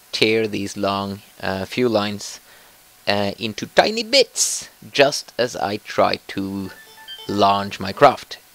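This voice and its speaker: Over music in the background, a man talks at a very slow pace. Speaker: gamer. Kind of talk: let's play gaming commentary. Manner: casual, hesitant.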